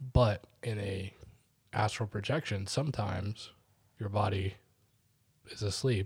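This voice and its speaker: The recording is very clean, with a silent background. A man speaks at a fairly slow pace with a fairly low, somewhat breathy voice. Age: 30s. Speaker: podcast co-host. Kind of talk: casual chat.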